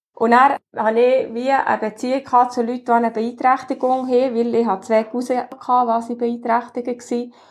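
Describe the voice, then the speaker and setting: A woman with high pitch talks at a moderate pace in monotone, flat intonation. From Bernese Oberland, Switzerland (between Frutigen and Adelboden). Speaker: carpenter and business owner. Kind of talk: interview.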